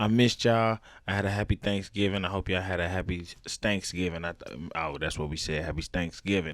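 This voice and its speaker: Animated in tone, a man with a very deep, low pitch talks at a fairly quick pace with ordinary pitch variation and big swings in loudness, on a very clean recording with a silent background. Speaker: comedy podcast host. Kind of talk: casual monologue. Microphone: new headphones.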